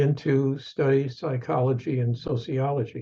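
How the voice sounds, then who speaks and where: Slow to a great degree, this man speaks in a dark, mellow tone with an American accent. His voice is somewhat breathy. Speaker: professor emeritus and author. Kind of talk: interview, personal storytelling. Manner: halting, with fillers.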